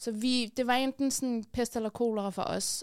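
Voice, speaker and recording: A normal speaking voice moves at a fairly slow pace with fairly even intonation. The recording is very clean, with a silent background. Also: woman. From Afghanistan, raised in Denmark. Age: 30s. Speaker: activist and columnist. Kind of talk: casual interview. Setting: studio.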